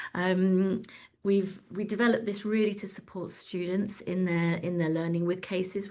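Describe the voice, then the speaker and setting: Against a quiet background, a woman talks at a medium pitch. Her intonation stays fairly even. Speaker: webinar host, communications director. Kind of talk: product demo in a webinar. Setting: online webinar. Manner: fast.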